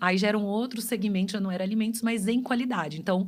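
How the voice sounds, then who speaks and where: A woman talks at a fairly quick pace in a fairly high pitch, somewhat breathy, with fairly even intonation. Audible room echo surrounds her voice. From Brazil, Pará and Goiânia. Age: 40s. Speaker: customer experience specialist. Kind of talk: podcast interview.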